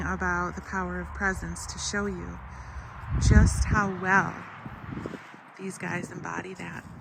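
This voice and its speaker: A soft-spoken woman talks at a fairly slow pace with long, frequent pauses and big swings in loudness. Audible room echo and noticeable background noise fill the recording. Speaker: equine-assisted wellness coach. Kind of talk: guided meditation.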